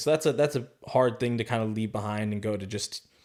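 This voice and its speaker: This man has a plain, everyday voice with a General American accent. His pitch is medium, his pace moderate, and his intonation fairly even. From Arizona. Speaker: sales professional. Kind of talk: interview answer.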